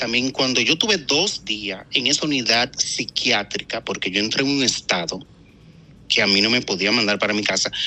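Noticeable background noise sits behind the recording. A man talks through it at a moderate pace. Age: 40s. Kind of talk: interview testimony.

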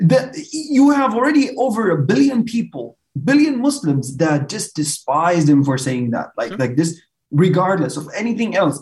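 A high-pitched man with an Arabic accent, at a moderate pace, with very wide pitch swings. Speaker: podcast guest. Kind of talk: casual chat.

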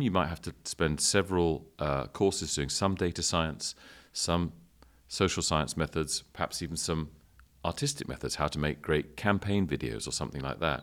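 In a very clean recording with a silent background, a man with vocal fry speaks at a moderate pace in a very deep, low pitch with ordinary pitch variation. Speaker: university dean. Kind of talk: interview conversation.

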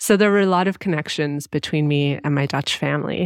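A woman with a Canadian accent uses a normal speaking voice, talking at a fairly quick pace with ordinary pitch variation. The sound is dry and close with no echo, against a quiet background. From Canada (Ottawa area). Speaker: travel podcast host. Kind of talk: casual interview chat.

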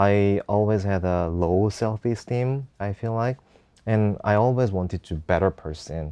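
A fairly low-pitched male voice with a dark, mellow tone, ordinary pitch variation and a moderate pace, in a dry, close recording with no echo and a quiet background. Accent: Korean. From South Korea, Seoul. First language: Korean. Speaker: entrepreneur. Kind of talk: casual interview.

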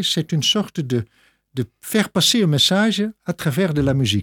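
Over a very clean recording with a silent background and a dry, close sound with no echo, a man speaks at a fairly slow pace with very wide pitch swings. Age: 60s. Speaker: pastor and organist. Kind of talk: radio interview.

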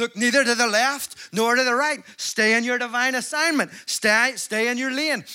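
A man with a Northern Irish accent talks at a moderate pace in a raised, projected voice, with an extremely high pitch and a bright, sharp tone. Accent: Northern Irish (Belfast). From Northern Ireland, Belfast. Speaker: evangelist. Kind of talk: sermon. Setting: stage with audience. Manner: animated.

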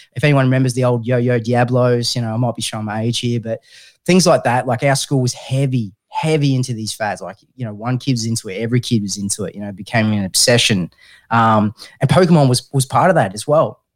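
A man's voice with an Australian accent at a very fast pace, with ordinary pitch variation, in a very clean recording with a silent background. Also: medium pitch for a man. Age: 30s. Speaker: mental health podcast host. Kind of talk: casual chat.

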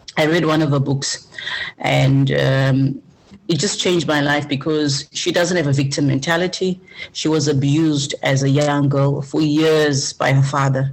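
With a Zimbabwean accent, a woman speaks at a moderate pace in a very deep, low pitch, her intonation monotone and flat and her loudness very even. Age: 40s. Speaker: business coach. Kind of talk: interview. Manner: direct.

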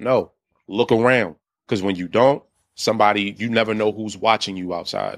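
On a very clean recording with a silent background, a man with an American accent speaks in an unremarkable speaking voice at a fairly low pitch. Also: fairly even intonation, moderate pace. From Washington, D.C. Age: 30s. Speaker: streamer. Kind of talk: podcast interview.

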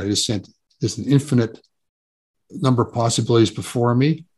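Somewhat breathy, the voice moves at a fairly quick pace over a quiet background. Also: man. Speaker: author and psychotherapist. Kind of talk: interview conversation.

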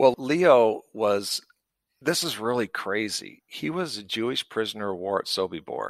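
Over a silent background in a very clean recording, a man with an American accent speaks at a fairly slow pace. His medium-pitched voice has lively intonation. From US West, rural southern Idaho. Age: 60s. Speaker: veterinarian. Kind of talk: interview. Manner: animated.

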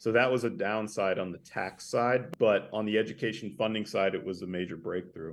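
A man with an American accent speaks at a fairly low pitch with hardly any pauses. He has a normal speaking voice with ordinary pitch variation. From northern Idaho, US. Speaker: grassroots organizer, nonprofit director. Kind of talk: interview.

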